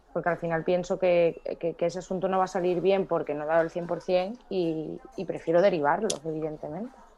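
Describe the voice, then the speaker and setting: A woman speaks with hardly any pauses in a fairly low, monotone voice with flat intonation. Music plays in the background. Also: fairly quick pace. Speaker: lawyer. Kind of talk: casual chat. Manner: fast.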